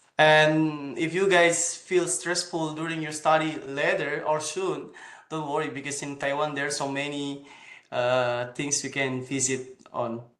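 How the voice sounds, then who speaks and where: Speaking at a fairly high pitch, a man keeps his intonation fairly even. His pace is fairly slow, and audible room echo is present. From Indonesia. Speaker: PhD student. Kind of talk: presentation. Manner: halting.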